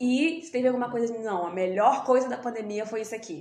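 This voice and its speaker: Using a plain, everyday voice, a woman with a fairly high pitch talks at a moderate pace with ordinary pitch variation. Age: 20s. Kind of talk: casual chat.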